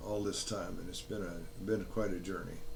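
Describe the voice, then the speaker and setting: Audible room echo surrounds a man with a fairly low pitch. He talks at a moderate pace with fairly even intonation. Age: 80s. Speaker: health vlogger. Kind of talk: casual monologue. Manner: halting.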